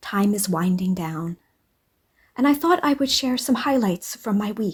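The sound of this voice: A woman speaks at a fairly slow pace with a medium pitch. Her intonation is lively, and her voice carries a slightly husky edge.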